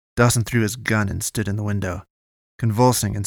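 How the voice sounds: Heard against a quiet background, a natural reading voice carries fairly even intonation.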